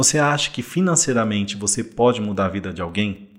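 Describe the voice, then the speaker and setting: Fairly low in pitch with ordinary variation, a man talks at a fairly quick pace in an unremarkable speaking voice. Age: 40s. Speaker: investor and insurance professional. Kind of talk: casual interview chat.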